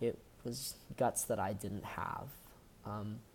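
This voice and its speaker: With an American accent, a man talks in a fairly low pitch with a dark, mellow tone. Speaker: college student. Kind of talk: recorded personal talk. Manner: hesitant, with fillers.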